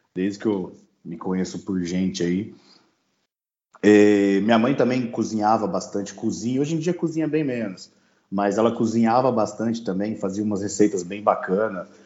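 Pitched fairly low, a man with a plain, everyday voice talks at a moderate pace with ordinary pitch variation. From Brazil, São Paulo state interior. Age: 30s. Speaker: pitmaster and agronomist. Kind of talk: casual interview chat.

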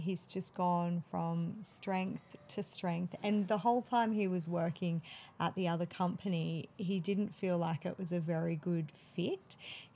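Speaking fairly slowly with fairly even intonation, a woman with an Australian accent has a somewhat breathy, dark, mellow tone and a fairly low pitch. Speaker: midwife. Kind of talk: casual interview.

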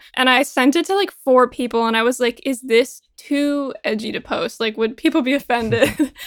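With hardly any pauses, a woman talks in a high pitch with ordinary pitch variation. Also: moderate pace. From Vermont. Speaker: singer-songwriter and student. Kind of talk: casual interview chat. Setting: remote call.

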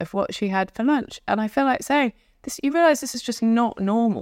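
A woman speaks at a moderate pace. The sound is dry and close with no echo. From London. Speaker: journalist and novelist. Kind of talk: casual chat.

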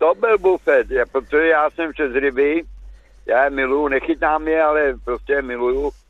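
A man speaks at a moderate pace in an ordinary speaking voice. His intonation is fairly even. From České Budějovice, South Bohemia. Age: 60s. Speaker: radio caller. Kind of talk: phone-in call. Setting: phone call from a car by the road.

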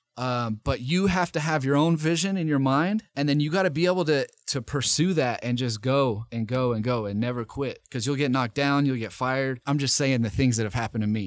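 A man talks at a fairly quick pace and medium pitch with hardly any pauses. He has an unremarkable speaking voice. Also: ordinary pitch variation. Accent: American. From US South, Nashville, Tennessee. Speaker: radio host and rapper. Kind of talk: casual interview.

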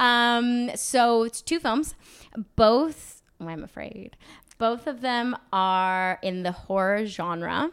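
A woman's very slow speech in an American accent, fairly high-pitched, with lively intonation and big swings in loudness, in a very clean recording with a silent background. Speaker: actress. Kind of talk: interview.

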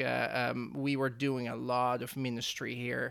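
In a very clean recording with a silent background, a man with a Dutch accent speaks at a very slow pace. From Netherlands. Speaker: church media staff. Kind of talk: interview.

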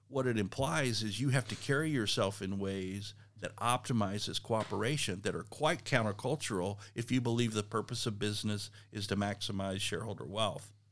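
A man with an American accent and a plain, everyday voice talks at a fairly quick pace in a fairly low pitch with ordinary pitch variation, on a very clean recording with a silent background. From South Texas. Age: 60s. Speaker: business professor. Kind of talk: interview conversation. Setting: in person on a college campus.

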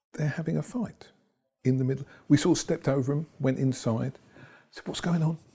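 At a medium pitch and moderate pace, a man speaks in a somewhat breathy voice with a dark, mellow tone and ordinary pitch variation. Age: 60s. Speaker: property investor and trainer. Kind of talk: interview. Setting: studio.

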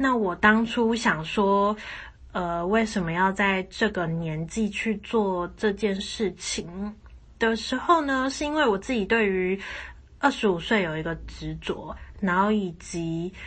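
A woman speaks at a very slow pace. Her medium-pitched voice shows ordinary pitch variation. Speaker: podcast host. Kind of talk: solo podcast monologue.

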